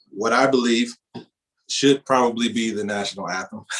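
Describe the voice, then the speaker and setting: The pitch varies in an ordinary way. The speaker is a man. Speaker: singer. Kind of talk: casual talk before performance.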